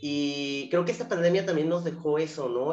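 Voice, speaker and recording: A moderate pace in a Mexican accent. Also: man. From Mexico, Zamora, Michoacán. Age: 30s. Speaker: educational psychologist and university lecturer. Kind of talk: interview conversation.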